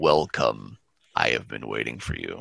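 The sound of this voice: A man speaks at a moderate pace in a booming, put-on character voice.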